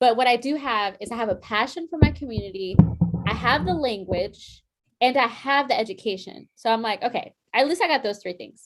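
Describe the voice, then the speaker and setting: Over music in the background, a woman speaks at a fairly high pitch and a fairly quick pace with lively intonation. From US, Puerto Rican family. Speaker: nonprofit executive director. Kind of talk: casual interview chat. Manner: casual, many fillers.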